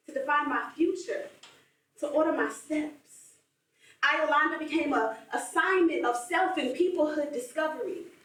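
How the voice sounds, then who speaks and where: At a moderate pace, a high-pitched woman speaks with long, frequent pauses and audible room echo. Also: ordinary pitch variation. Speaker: spoken word poet. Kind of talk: spoken word performance. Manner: rhythmic.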